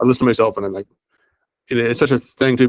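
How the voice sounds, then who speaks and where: A man at a very fast pace, medium in pitch, in a dry, close sound with no echo. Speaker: media school manager. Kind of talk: casual work meeting.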